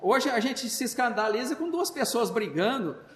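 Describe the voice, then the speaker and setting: A man speaks in an extremely high pitch at a fairly slow pace, with lively intonation. Audible room echo and noticeable background noise fill the recording. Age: 60s. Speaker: spiritist lecturer. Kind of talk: religious talk. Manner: halting, many fillers and repetitions.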